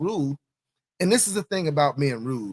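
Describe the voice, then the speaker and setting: Loud and fairly quick, a man speaks with a fairly high pitch and very wide pitch swings. The sound is dry and close, with no echo. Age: 40s. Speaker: police officer and show host. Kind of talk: casual commentary monologue.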